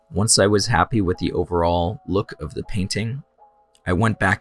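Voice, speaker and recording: A man is speaking. Music plays in the background. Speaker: digital artist. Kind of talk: tutorial.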